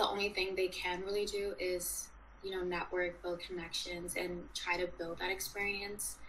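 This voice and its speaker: A woman's medium-pitched voice in a monotone, flat intonation at a moderate pace, with noticeable background noise. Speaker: student journalist. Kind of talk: interview.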